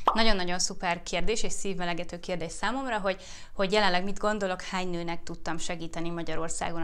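A normal speaking voice from a woman, fairly low in pitch, with ordinary pitch variation. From Hungary. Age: 30s. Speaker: YouTuber and fertility awareness educator; YouTuber, fertility awareness educator. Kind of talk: casual Q&A vlog.

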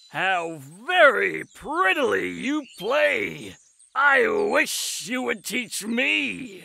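A man in a put-on character voice, at a very slow pace. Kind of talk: fairy-tale audiobook acting. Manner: eager, then furious.

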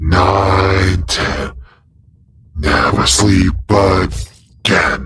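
A put-on character voice, raspy and menacing in a theatrical tone, delivers its lines at a very slow pace. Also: man. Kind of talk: comic villain roleplay. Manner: menacing, theatrical gloating.

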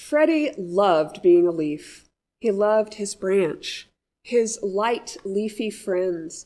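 Over a quiet background, a woman speaks very slowly in a gentle, warm tone with lively intonation. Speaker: pastor. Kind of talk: audiobook-style reading aloud of a children's story in church. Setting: church service message for all ages. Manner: gentle, warm storyteller pacing, clear and measured. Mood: gentle, calm storytelling. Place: church.

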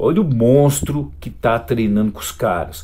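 A man's animated voice with vocal fry. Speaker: fitness youtuber. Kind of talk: video reaction commentary. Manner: loud.

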